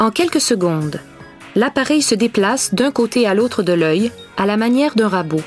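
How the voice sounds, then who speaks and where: A woman at medium pitch and moderate pace, lively intonation, music in the background. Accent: Quebec. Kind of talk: documentary narration.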